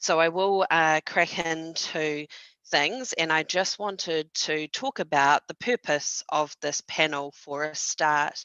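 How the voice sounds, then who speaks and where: A woman with a New Zealand accent, her very deep, low voice showing ordinary pitch variation at a very slow pace. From New Zealand (Palmerston North). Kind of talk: panel moderation at online conference. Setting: video call. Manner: hesitant, many fillers.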